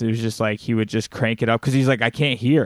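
The voice has monotone, flat intonation and a dry, close sound with no echo, on a very clean recording with a silent background. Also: man. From US South, Alabama. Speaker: podcast host and bass player. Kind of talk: casual chat. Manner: halting, many fillers.

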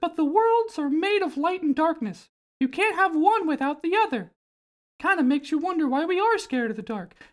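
A squeaky, high-pitched put-on character voice comes through. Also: fairly quick pace.

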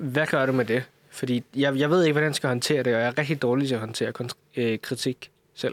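A man talks at a fairly quick pace in an unremarkable speaking voice, his pitch medium and his loudness very even. The sound is dry and close, with no echo. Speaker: coder. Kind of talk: casual chat.

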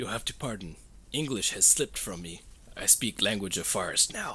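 A man's put-on character voice, fairly low in pitch, with clear background noise. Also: moderate pace. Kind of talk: broken stilted English. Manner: gruff.

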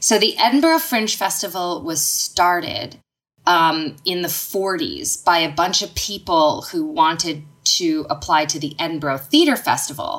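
A woman with a Canadian accent, at a fairly slow pace, on a very clean recording with a silent background. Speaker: stand-up comedian and singer-songwriter. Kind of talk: casual chat.

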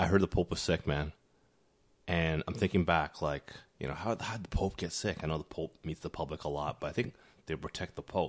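Speaking at a fairly quick pace, a man uses a very deep, low pitch with ordinary pitch variation. He talks with a Canadian accent. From Toronto, Canada. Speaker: podcast co-host. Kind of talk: casual chat. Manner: casual, conversational.

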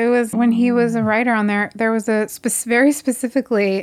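In an American accent, a woman with a normal speaking voice and a fairly high pitch talks at a moderate pace. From New Jersey. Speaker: documentary filmmaker and editor. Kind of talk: casual interview.

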